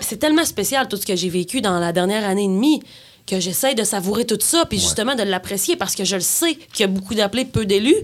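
Very fast speech with lively intonation comes through in a very clean recording over a silent background. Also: woman, medium pitch for a woman. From rural Quebec. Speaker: singer-songwriter. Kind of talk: interview conversation.

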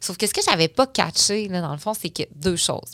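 A woman's ordinary speaking voice, medium in pitch and fairly quick, with a dry, close sound, no echo, and a very clean recording against a silent background. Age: 30s. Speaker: entrepreneur, company founder. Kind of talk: casual interview chat.

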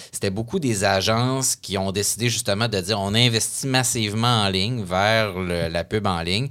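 A man speaks in a bright, sharp tone with fairly even intonation. He leaves hardly any pauses. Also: fairly low pitch for a man, moderate pace. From Quebec City. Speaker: columnist. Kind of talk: casual interview.

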